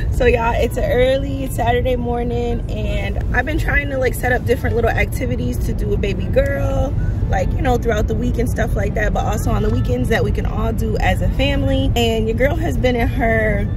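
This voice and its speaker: Against loud background noise, a woman speaks at a fairly quick pace with hardly any pauses, the sound dry with no echo. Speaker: family vlogger. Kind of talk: casual vlog chat. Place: car. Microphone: phone near.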